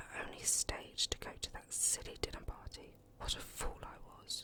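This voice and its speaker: Noticeable noise fills the background. A whispering voice moves at a fairly slow pace. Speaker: ASMR reader. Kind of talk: audiobook reading.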